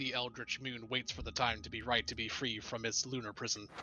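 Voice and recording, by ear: Using a put-on character voice, a man speaks at a medium pitch and a fairly quick pace against clear background noise.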